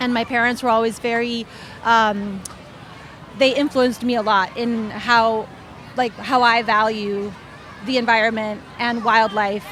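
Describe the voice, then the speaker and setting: The delivery is monotone and flat at a fairly slow pace, with long, frequent pauses. Noticeable background noise runs underneath. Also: woman, fairly high pitch for a woman. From Honduras. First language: Spanish. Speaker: children's book author. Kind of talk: panel discussion. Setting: book festival panel.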